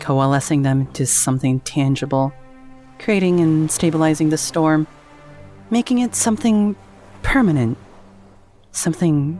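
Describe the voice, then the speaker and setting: Music plays in the background as the speech moves fairly slowly, broken by long, frequent pauses. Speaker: voice actor. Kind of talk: dramatic fantasy narration.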